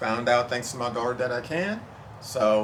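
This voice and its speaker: A man over noticeable background noise. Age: 60s. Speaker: home gardener. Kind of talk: testimony. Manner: halting, with fillers.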